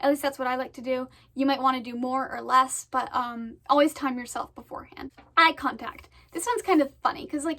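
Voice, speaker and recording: At a fairly quick pace, a woman with an American accent speaks in a high pitch. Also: quiet background. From Maine, US. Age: young. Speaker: student vlogger. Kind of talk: casual tutorial. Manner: fast; hesitant, many fillers. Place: home room. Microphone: phone near.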